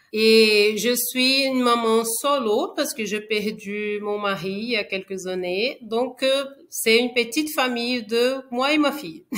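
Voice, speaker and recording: This woman speaks very slowly with hardly any pauses, her fairly high voice showing ordinary pitch variation. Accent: Brazilian. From Brazil, Rio de Janeiro. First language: Portuguese (speaking French). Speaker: engineer, widowed mother. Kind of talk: podcast interview testimony. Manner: hesitant, many fillers.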